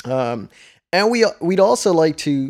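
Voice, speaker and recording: A very slow delivery with a Dutch accent. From Netherlands. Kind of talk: casual chat.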